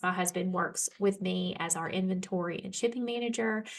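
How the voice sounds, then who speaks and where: Amid noticeable background noise, a woman with an Alabama accent talks at a moderate pace, medium in pitch with ordinary pitch variation. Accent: Southern US (Alabama). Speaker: homeschool educator and small publisher. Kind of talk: workshop talk. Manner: casual, with filler words; occasional stumbles.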